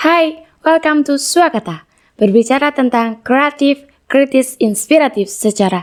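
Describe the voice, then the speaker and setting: A woman speaks at a fairly slow pace with a high pitch and lively intonation. Her loudness stays very even. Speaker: student talk show host. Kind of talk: casual interview. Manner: animated.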